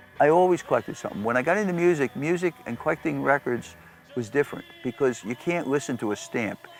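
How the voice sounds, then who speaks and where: Music can be heard behind the speaker. His voice, a man's, carries lively intonation. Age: 70s. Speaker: record shop owner. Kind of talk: documentary interview. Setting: record warehouse. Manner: animated.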